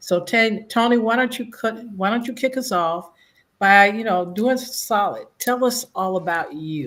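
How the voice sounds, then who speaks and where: Over a silent background in a very clean recording, a woman talks fairly slowly at a fairly high pitch with ordinary pitch variation. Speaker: show host. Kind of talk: interview.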